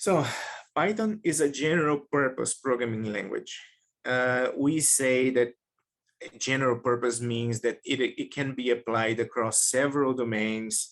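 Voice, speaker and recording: With a Portuguese accent, a man speaks at a medium pitch and a fairly slow pace, using ordinary pitch variation. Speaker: data science researcher. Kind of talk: webinar lecture.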